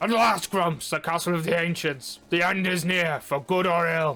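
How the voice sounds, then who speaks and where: Over music in the background, a man does a high-pitched, put-on character voice at a moderate pace with ordinary pitch variation. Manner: dramatic, solemn.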